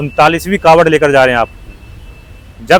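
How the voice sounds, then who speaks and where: A man's voice with fairly even intonation. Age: young. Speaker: roadside video interviewer. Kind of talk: street interview. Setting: outdoors on the road.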